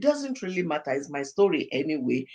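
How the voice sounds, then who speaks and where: This woman's delivery is animated. Her pitch rises and falls across a very wide range. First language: not English. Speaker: pastor and life coach. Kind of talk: podcast interview. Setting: studio.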